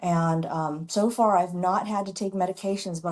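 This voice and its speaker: A woman with an American accent uses an ordinary speaking voice, keeping a moderate pace and fairly even intonation. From US Midwest, Chicago. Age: 60s. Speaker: doctor and model. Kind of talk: interview.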